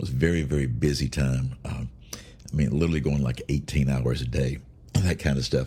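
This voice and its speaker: His very deep, low voice has a dark, mellow tone, vocal fry and ordinary pitch variation. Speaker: podcast host, bible teacher. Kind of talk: casual devotional talk. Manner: halting, many fillers.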